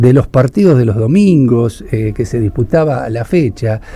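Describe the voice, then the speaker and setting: A man with a Rioplatense accent speaks at a moderate pace in a medium pitch, his dark, mellow tone somewhat breathy and his pitch swinging very widely. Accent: Argentine Rioplatense Spanish. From Argentina, Buenos Aires province interior. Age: 60s. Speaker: radio host / interviewer. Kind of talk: phone interview.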